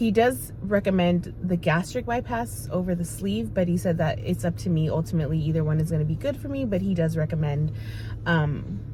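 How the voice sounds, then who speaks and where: A woman speaking at a fairly quick pace, with noticeable background noise. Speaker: vlogger sharing weight loss journey. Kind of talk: casual vlog talk to camera. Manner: hesitant, many fillers.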